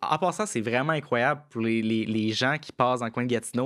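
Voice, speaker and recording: In a very clean recording with a silent background, a man with a plain, everyday voice talks at a medium pitch and fairly quick pace with fairly even intonation. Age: 20s. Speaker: tech entrepreneur. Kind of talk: casual interview. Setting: studio.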